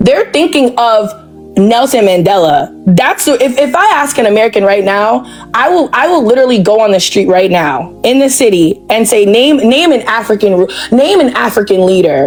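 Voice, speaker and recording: Music plays in the background as a woman talks at a fairly high pitch. Her loudness stays very even while her pitch swings very widely. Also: moderate pace. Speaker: debate panelist. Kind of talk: heated debate.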